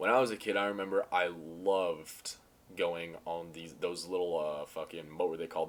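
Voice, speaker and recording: Very deep and low, a man's voice holds a monotone, flat intonation. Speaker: vlogger. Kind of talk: casual monologue vlog. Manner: halting.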